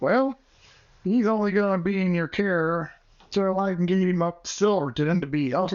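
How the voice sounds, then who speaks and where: A man puts on a character voice at a high pitch, speaking at a moderate pace with ordinary pitch variation and very even loudness. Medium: audio drama. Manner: gruff, terse, folksy Western.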